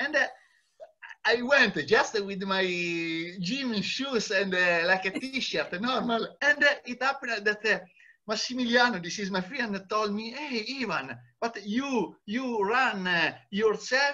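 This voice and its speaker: The voice is raised and projected, with a bright, sharp tone and a fairly slow pace. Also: man, high pitch for a man, ordinary pitch variation. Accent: Italian. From Italy. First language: Italian. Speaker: long-distance cyclist. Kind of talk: interview. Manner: halting, many hesitations.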